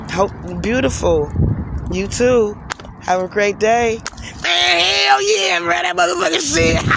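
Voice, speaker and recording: A man talks at a moderate pace in an animated tone with lively intonation and a high pitch. Noticeable background noise sits behind him. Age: 40s. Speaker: streamer. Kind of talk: casual chat. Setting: outdoors.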